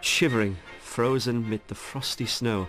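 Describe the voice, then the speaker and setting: With music in the background, a man talks at a fairly low pitch with ordinary pitch variation. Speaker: television presenter. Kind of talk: documentary presenter narration.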